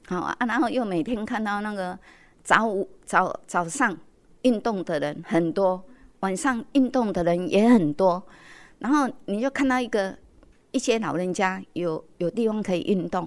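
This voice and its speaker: With an ordinary speaking voice, a woman of medium pitch talks fairly slowly, her intonation lively and her loudness swinging widely, on a very clean recording with a silent background. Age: 60s. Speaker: community association accountant. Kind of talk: interview. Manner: many filler particles.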